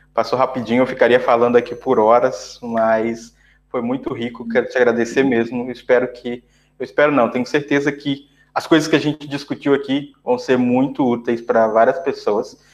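Monotone, flat intonation from a man with a medium-pitched voice. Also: moderate pace. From Brazil. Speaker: podcast host, software developer. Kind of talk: interview conversation.

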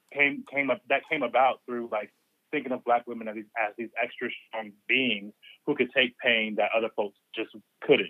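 With an American accent, a man speaks in a plain, everyday voice at medium pitch and a moderate pace. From US South. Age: 20s. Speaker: writer and community organizer. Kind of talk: casual chat.

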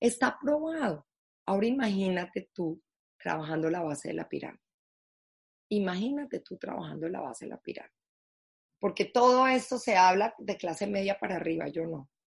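A somewhat breathy woman speaks at a moderate pace and medium pitch, with very wide pitch swings, big swings in loudness, and long, frequent pauses. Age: 50s. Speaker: foundation founder, social entrepreneur. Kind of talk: interview conversation.

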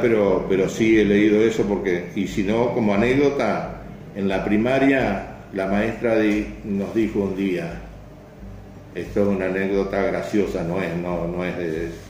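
With a Rioplatense accent, a man speaks at a fairly slow pace in a fairly low pitch with ordinary pitch variation, in audible room echo. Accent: Argentine Spanish (rioplatense). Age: 70s. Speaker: club member. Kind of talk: interview. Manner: halting, many repetitions.

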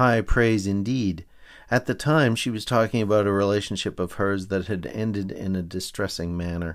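At a moderate pace, a plain, everyday voice speaks with ordinary pitch variation in a very clean recording with a silent background. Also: man, fairly low pitch for a man. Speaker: podcaster reading own serialized novel aloud. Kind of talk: literary audiobook reading, dry wry first-person narration. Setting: home microphone recording.

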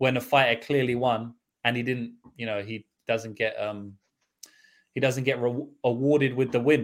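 This voice speaks in a London accent at a moderate pace. Its pitch varies in an ordinary way. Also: man. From London, England. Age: 20s. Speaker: MMA betting analyst. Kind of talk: casual chat.

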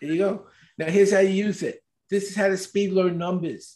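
Speaking at a fairly quick pace in a New York accent, a man uses a high pitch, a dark, mellow tone and fairly even intonation. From US Northeast, Brooklyn, New York. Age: 70s. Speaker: speed reading expert. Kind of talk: interview.

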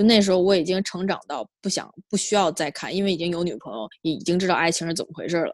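Delivered at a very fast pace with hardly any pauses and ordinary pitch variation, the speech is on a very clean recording with a silent background. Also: woman, fairly low pitch for a woman. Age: 30s. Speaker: podcast guest. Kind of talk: casual chat. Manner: halting, many repetitions.

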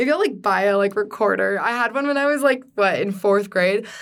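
Her pitch fairly high, a woman talks at a very fast pace. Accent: Californian. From US West Coast, San Diego, California. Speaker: student singer-songwriter. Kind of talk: casual chat.

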